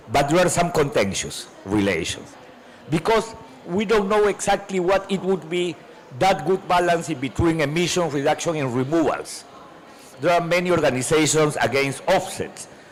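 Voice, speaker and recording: Against noticeable background noise, a man with a high pitch speaks at a moderate pace, with ordinary pitch variation and very even loudness. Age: 60s. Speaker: climate policy panelist. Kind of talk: panel discussion. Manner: halting, repeats words.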